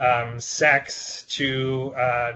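The voice belongs to a man. It has a medium pitch. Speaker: lawyer presenting on court ruling. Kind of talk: panel presentation. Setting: video call. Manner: hesitant, filler-heavy.

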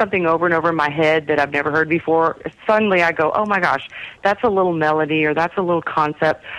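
Talking very fast, a woman with a slight Texas accent has a fairly low pitch. Her loudness stays very even, and her pitch varies in an ordinary way. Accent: slight Texas country twang. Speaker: singer-songwriter. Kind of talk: interview.

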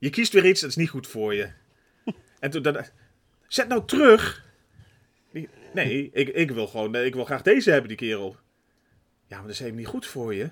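The speaker moves at a moderate pace with long, frequent pauses, with very wide pitch swings and big swings in loudness. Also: man, medium pitch for a man. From Netherlands. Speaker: podcast co-host. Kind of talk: casual chat.

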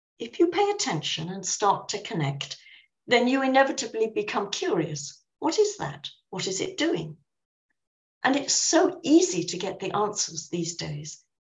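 Speaking at a moderate pace with a southern English accent, a woman uses a fairly high, somewhat breathy voice with very wide pitch swings and big swings in loudness. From southern England. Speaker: professor and author. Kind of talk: interview.

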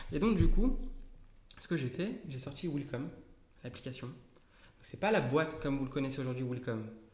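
In a room with audible echo, a man with a fairly high, somewhat breathy voice talks at a moderate pace in an animated tone, his intonation lively, his loudness swinging widely, and his speech broken by long, frequent pauses. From Paris region, France. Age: 30s. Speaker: software developer and company founder. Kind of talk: interview.

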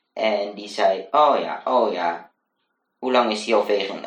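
Using ordinary pitch variation, a man speaks at a fairly slow pace. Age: 20s. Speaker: student teacher and blogger. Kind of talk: casual interview chat. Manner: hesitant, many fillers.

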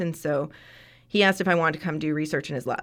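A woman's ordinary speaking voice, fairly low in pitch with ordinary pitch variation, on a very clean recording with a silent background. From Canada, Ontario. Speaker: veterinary surgeon and assistant professor. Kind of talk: interview.

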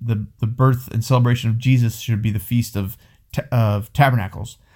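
A man's medium-pitched, somewhat breathy voice with an American accent, at a moderate pace and fairly even intonation, in a very clean recording with a silent background. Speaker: podcast host. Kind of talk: angry rant, fired-up sermon-like tirade about the church and society. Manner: worked up, impassioned, emphatic; argumentative, talks over partner.

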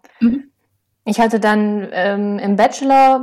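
Very slow female speech at medium pitch on a very clean recording with a silent background. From Lower Saxony, Osnabrück area. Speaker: soil scientist and author. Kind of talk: interview.

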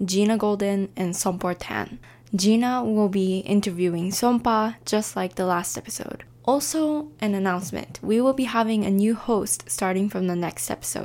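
A woman with lively intonation at a moderate pace, an ordinary speaking voice. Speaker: podcast producer. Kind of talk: intro announcement.

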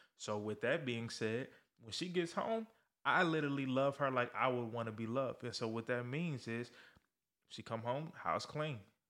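An unremarkable speaking voice with ordinary pitch variation on a very clean recording with a silent background. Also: man, medium pitch for a man, moderate pace. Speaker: podcast host and life coach. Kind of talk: casual conversational podcast discussion about faith and manhood.

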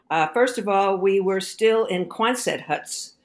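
With an American accent, a woman has an ordinary speaking voice at medium pitch and ordinary pitch variation. She talks at a fairly slow pace on a very clean recording with a silent background. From Brooklyn, New York. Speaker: economics professor. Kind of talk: interview.

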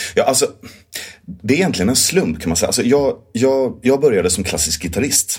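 His pitch swings very widely. This man keeps up a fairly quick pace. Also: medium pitch for a man. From southern Sweden (Skåne). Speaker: musical theatre actor and director. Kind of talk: interview.

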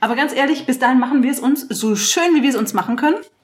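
Her pace is fairly quick. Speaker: podcast co-host. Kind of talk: casual chat. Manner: giggly.

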